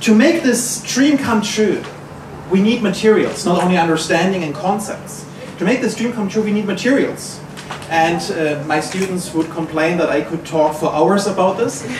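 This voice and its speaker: A man speaks with a German accent at a high pitch and ordinary pitch variation. Noticeable background noise runs under his voice. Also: moderate pace. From Germany, Bavaria. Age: 30s. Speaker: materials scientist. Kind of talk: award acceptance talk.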